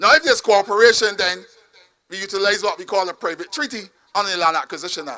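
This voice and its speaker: In a raised, projected voice, a man with a high pitch speaks at a very fast pace in an animated tone, with ordinary pitch variation and big swings in loudness. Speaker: politician. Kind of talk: campaign speech.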